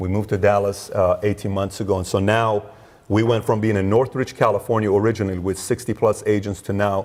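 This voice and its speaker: A man's fairly low voice, monotone and flat, at a very fast pace. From Iran. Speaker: entrepreneur, insurance company founder. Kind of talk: interview.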